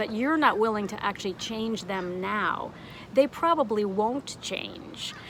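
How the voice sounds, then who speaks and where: With lively intonation and a fairly high pitch, a woman speaks at a fairly slow pace amid noticeable background noise. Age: 60s. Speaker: online art teacher. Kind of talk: motivational talk to camera. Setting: outdoors on a deck.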